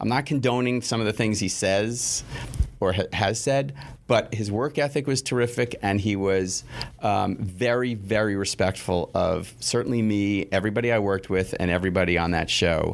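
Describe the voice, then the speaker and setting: A man with an American accent talks at a moderate pace in a plain, everyday voice, his pitch fairly low with ordinary pitch variation and very even loudness. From New York City (Queens). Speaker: television network executive. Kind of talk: interview.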